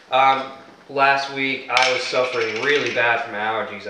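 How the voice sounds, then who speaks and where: A man speaks at a moderate pace with fairly even intonation. Audible room echo and noticeable background noise surround his voice. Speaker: podcast co-host. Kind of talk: casual chat. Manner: hesitant, many fillers.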